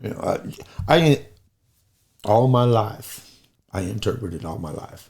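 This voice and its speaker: A man's animated, somewhat breathy voice at medium pitch, fairly slow with long, frequent pauses, lively intonation and big swings in loudness. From rural US, farm upbringing. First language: American Sign Language. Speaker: podcast guest, former sign language instructor. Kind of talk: casual chat.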